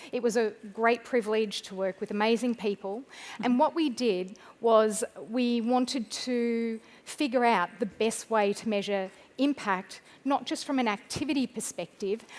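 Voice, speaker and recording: Someone with an Australian accent talks at a moderate pace with ordinary pitch variation. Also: woman, fairly high pitch for a woman. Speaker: pharmaceutical field medical team lead. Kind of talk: conference presentation. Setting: stage with audience.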